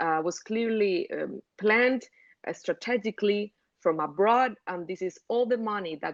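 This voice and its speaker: A fairly slow Cuban accent with ordinary pitch variation, dry and close with no echo, over a quiet background. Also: woman. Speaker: journalist. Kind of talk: interview. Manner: hesitant, many fillers and restarts.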